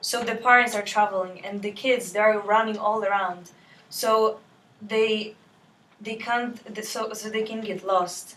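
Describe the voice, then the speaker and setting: A woman with a fairly high pitch talks at a fairly slow pace in a flat monotone, her loudness swinging widely over noticeable background noise. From Poland. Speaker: student debater. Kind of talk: classroom debate speech. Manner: halting.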